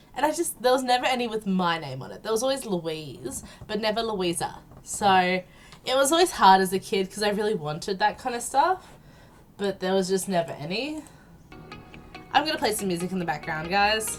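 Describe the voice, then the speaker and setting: A woman at medium pitch, in an Australian accent, swings her pitch very widely. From South Australia. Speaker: gaming YouTuber. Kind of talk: casual vlog Q&A. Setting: home recording with headset and background music. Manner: hesitant, many ums.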